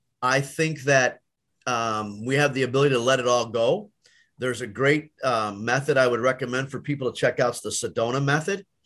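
With an unremarkable speaking voice, a man talks at a medium pitch and fairly quick pace with ordinary pitch variation over a quiet background. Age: 60s. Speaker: collision repair shop owner and magazine board member. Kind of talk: interview.

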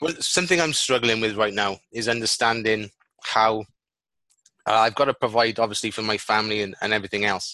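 At a moderate pace, a man of medium pitch speaks with a Welsh accent. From Wales. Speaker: podcast host. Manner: casual, friendly.

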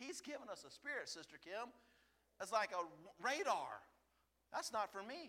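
A man speaks in a raised, projected voice at an extremely high pitch with very wide pitch swings. His pace is moderate, broken by long, frequent pauses. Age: 50s. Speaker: lay preacher. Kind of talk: sermon. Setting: church. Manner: animated.

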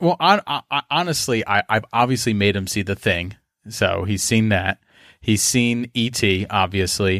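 Here a man with an unremarkable speaking voice and a fairly low pitch talks at a moderate pace with ordinary pitch variation. The sound is dry and close with no echo, on a very clean recording with a silent background. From Philadelphia. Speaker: podcaster. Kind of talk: casual chat.

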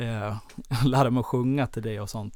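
A man's medium-pitched voice at a moderate pace, with monotone, flat intonation. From Sweden, Dalarna (Falun). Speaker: gym chain owner, former karate champion. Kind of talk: interview. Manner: halting, many fillers.

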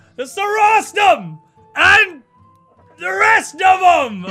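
A put-on character voice shouts at a very slow pace. Faint music plays in the background. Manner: rambling, boisterous.

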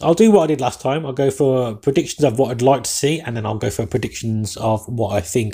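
A man with an English accent, somewhat breathy, dark and mellow in tone. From England. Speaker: sports podcast host. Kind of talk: solo podcast commentary. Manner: fast talker.

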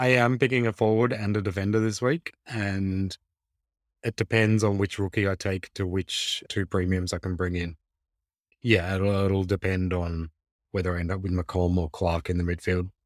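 A man with an Australian accent and a very deep, low pitch, fairly even in intonation, in a very clean recording with a silent background and a dry, close sound with no echo. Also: moderate pace. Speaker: fantasy football podcast co-host. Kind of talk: casual chat.

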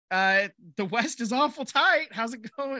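In a raised, projected voice, a man talks at a fairly slow pace with ordinary pitch variation. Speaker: sports podcast host. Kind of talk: casual chat. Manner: joking.

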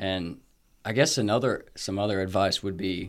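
Here a man with an ordinary speaking voice talks at a moderate pace and a fairly low pitch. The recording is very clean, with a silent background. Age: 20s. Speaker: recent college graduate, early career. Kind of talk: casual chat.

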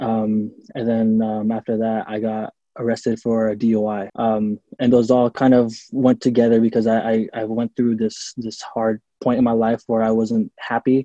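Speaking with an American accent, a man has a dark, mellow tone at a medium pitch and monotone, flat intonation. His pace is moderate, and the sound is dry and close with no echo. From US Pacific Northwest, Seattle. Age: 20s. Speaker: adult film performer and singer. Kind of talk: casual interview.

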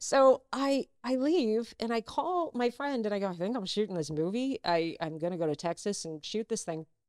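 A woman with an American accent talks at a moderate pace with hardly any pauses, at a fairly high pitch and with very wide pitch swings. The sound is dry and close, with no echo. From US South, North Carolina. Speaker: actress. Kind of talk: casual chat.

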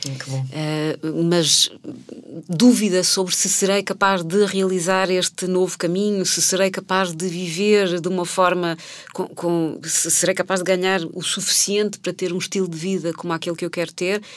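A woman at medium pitch and moderate pace, monotone and flat in intonation, with noticeable background noise. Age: 40s. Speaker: person changing careers. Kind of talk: interview.

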